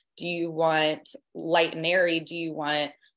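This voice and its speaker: Against a quiet background, a woman with an ordinary speaking voice talks at a fairly slow pace in a fairly low pitch. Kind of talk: interview answer. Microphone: video call.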